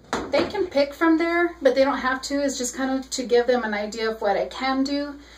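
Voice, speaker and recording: A woman speaks at a moderate pace in a high voice with ordinary pitch variation. Noticeable background noise is present. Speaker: face painter sharing business tips. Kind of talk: casual tutorial vlog. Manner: hesitant, many ums.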